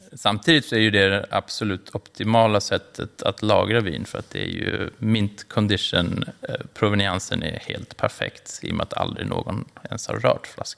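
There is noticeable background noise in this clip. Through it, a man talks at a moderate pace. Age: 40s. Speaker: wine merchant. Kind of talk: interview.

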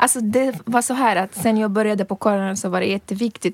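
A woman speaks with a non-native accent and ordinary pitch variation. Her voice sounds dry and close, with no echo. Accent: foreign accent in Swedish. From Libya. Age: 30s. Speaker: reporter. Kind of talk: casual chat. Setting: studio.

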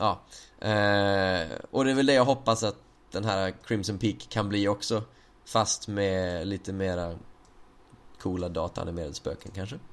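Speaking at a fairly slow pace, a man leaves long, frequent pauses. His fairly low voice shows ordinary pitch variation. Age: 20s. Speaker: podcast host. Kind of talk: casual chat.

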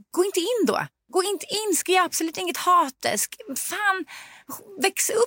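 Raised and projected, a woman's extremely high-pitched voice has a bright, sharp, animated tone, a fairly slow pace, ordinary pitch variation, and long, frequent pauses, recorded dry and close with no echo. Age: 40s. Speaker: parent. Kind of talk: casual chat.

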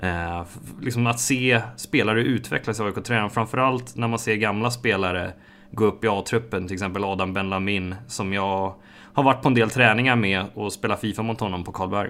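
On a very clean recording with a silent background, a man speaks with a bright, sharp tone, fairly low pitch and fairly even intonation. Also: moderate pace. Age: 20s. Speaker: esports player and project manager at a football club. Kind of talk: casual interview monologue.

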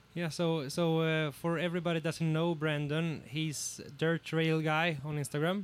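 With a Swedish accent, a man speaks at a moderate pace in a fairly high voice, monotone and flat, his loudness very even. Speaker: podcast host and excavator operator. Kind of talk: casual podcast chat. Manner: hesitant, filler-heavy.

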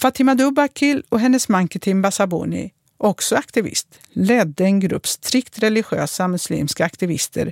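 Using an ordinary speaking voice, a woman talks at a medium pitch and moderate pace with lively intonation, in a very clean recording with a silent background and a dry, close sound with no echo. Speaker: former politician. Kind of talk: first-person narration.

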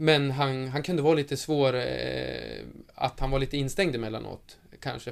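A man with a plain, everyday voice talks at medium pitch with ordinary pitch variation, in a very clean recording with a silent background. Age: 20s. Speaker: professional footballer. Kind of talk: interview.

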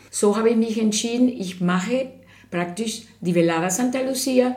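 A woman with a Spanish accent and ordinary pitch variation, amid audible room echo and noticeable background noise. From Venezuela. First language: Spanish (speaking German). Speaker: artist. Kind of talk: interview.

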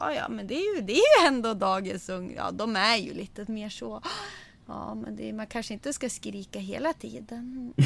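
A woman at a moderate pace, with big swings in loudness. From Sweden, Sundsvall area (Medelpad). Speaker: podcast host. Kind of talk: casual chat. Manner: animated.

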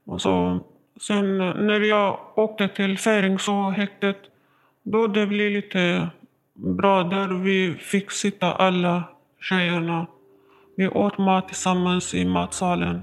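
A woman's medium-pitched voice, very slow and monotone, with flat intonation. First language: not Swedish (speaking Swedish). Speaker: prison inmate. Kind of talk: interview testimony. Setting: prison visiting room. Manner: halting.

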